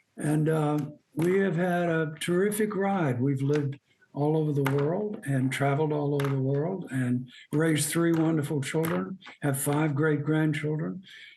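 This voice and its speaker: A man with a Southern US accent talks at a fairly high pitch and a fairly slow pace, with ordinary pitch variation. His loudness stays very even, and there is audible room echo. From US South, Birmingham, Alabama. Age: 80s+. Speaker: outdoor writer. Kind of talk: interview.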